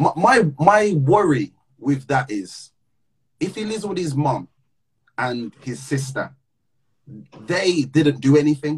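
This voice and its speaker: A man with a fairly high pitch speaks at a very slow pace, with long, frequent pauses. His voice is somewhat breathy and his intonation lively. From English Midlands, Wolverhampton. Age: 20s. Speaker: podcast host and musician. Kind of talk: casual livestream chat and interview. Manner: animated.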